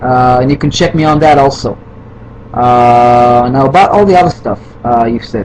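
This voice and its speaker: A man with a non-native accent, moderate pace and ordinary pitch variation, over noticeable background noise. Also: medium pitch for a man. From Israel. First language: Hebrew. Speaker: video responder. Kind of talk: heated rant. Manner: halting, many fillers.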